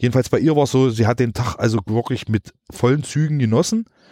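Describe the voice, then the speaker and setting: The tone is dark and mellow, with ordinary pitch variation. The sound is dry and close with no echo. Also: man. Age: 40s. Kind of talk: interview. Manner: halting.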